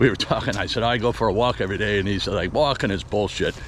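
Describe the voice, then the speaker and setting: There's noticeable background noise. Over it, a man speaks at a fairly quick pace. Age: 60s. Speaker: vlogger. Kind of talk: casual monologue while walking. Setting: outdoors, walking with dog. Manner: rambling, conversational.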